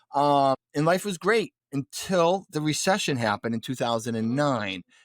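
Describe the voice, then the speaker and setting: A man with a strong Boston accent at fairly high pitch and moderate pace, with very wide pitch swings, in a very clean recording with a silent background and a dry, close sound with no echo. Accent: pronounced Boston. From New England, Boston area. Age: 40s. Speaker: real estate investor. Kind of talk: podcast interview, personal story.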